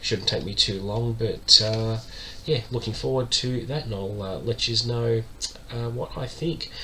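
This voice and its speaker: A man talks at a moderate pace, and noticeable background noise is heard throughout. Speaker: book vlogger. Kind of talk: casual monologue. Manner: many filler words.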